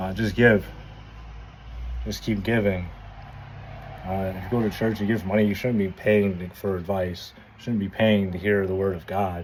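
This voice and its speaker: Amid audible room echo, a man with a fairly low pitch talks at a moderate pace and fairly even intonation, with long, frequent pauses. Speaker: vlogger. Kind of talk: casual monologue. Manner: halting.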